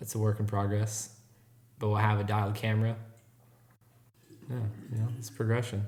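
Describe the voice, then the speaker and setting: Speaking in a relaxed, somewhat breathy tone, a man with a fairly low pitch talks at a fairly quick pace in a flat monotone, with long, frequent pauses. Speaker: podcast host. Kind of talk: casual chat. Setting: home studio.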